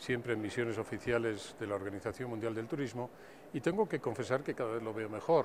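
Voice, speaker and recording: A man's voice at a medium pitch. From Spain. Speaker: tourism official. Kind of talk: interview. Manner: formal.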